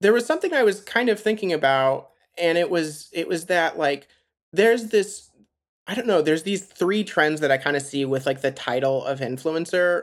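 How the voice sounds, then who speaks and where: With an American accent and lively intonation, a plain, everyday voice moves at a moderate pace on a very clean recording with a silent background. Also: man. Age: 30s. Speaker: podcast host. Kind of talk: interview.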